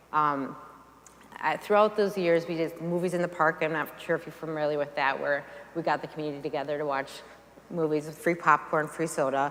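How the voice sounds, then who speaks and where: A woman talks at a fairly quick pace with a very deep, low pitch and fairly even intonation. There is noticeable background noise. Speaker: nonprofit founder. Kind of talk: talk to a church audience. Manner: fast.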